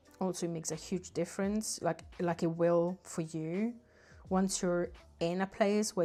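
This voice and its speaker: Music plays in the background as a woman speaks fairly slowly, her pitch fairly low and her pitch variation ordinary. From southern Italy. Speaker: artist livestreamer. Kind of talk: casual livestream chat while painting.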